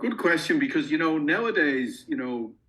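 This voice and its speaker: Speaking fairly quickly with an Irish accent, a man uses ordinary pitch variation. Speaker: company founder, investment specialist. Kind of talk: podcast interview. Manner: hesitant, many fillers and restarts.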